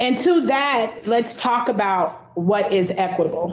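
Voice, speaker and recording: Audible room echo around a woman speaking at medium pitch. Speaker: subcommittee chair. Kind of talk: public meeting discussion. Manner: stutter.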